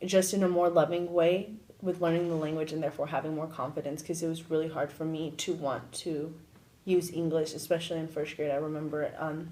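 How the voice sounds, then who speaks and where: Speaking at a fairly quick pace with monotone, flat intonation, a woman with a Spanish accent has a very deep, low pitch. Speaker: university student. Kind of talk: interview.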